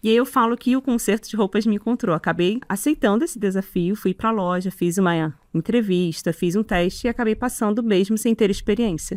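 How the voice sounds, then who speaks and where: The speech moves at a fairly quick pace with ordinary pitch variation, in a very clean, dry, close recording with no echo and a silent background. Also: woman, fairly high pitch for a woman. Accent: Rio de Janeiro. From Rio de Janeiro, Brazil. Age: 40s. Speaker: sewing teacher and content creator. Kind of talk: interview.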